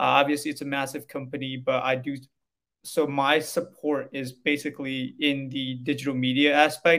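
Fairly high in pitch, a man talks at a moderate pace with monotone, flat intonation. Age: 20s. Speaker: tech sales rep, recent graduate. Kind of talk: podcast interview.

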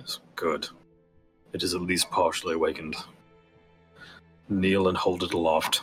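Using a put-on character voice pitched very deep and low, a man talks at a moderate pace with long, frequent pauses while faint music plays in the background. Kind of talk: fantasy game master voice. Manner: calm, aloof, faintly amused.

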